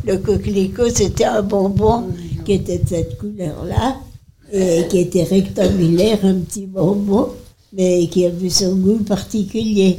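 Over noticeable background noise, the voice moves at a very slow pace with fairly even intonation. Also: woman, medium pitch for a woman. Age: 80s+. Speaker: nursing home resident. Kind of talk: reminiscence.

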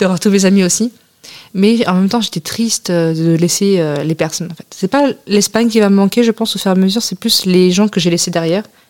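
An ordinary speaking voice at a fairly quick pace, with ordinary pitch variation. The sound is dry and close, with no echo. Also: woman, medium pitch for a woman. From France. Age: 20s. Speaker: returning European volunteer. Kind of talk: radio interview.

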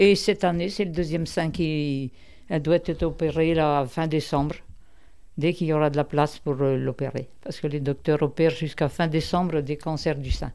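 Delivered at a moderate pace with fairly even intonation, the speech comes from a very clean recording with a silent background. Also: woman, very deep, low pitch for a woman. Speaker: senior centre member. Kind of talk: casual chat.

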